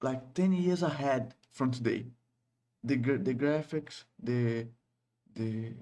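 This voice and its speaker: Very slowly and with long, frequent pauses, a man with a Brazilian Portuguese accent speaks in a dark, mellow tone at very even loudness. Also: medium pitch for a man, ordinary pitch variation. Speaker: game developer and YouTuber. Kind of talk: casual vlog, practicing English. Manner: halting with many repetitions.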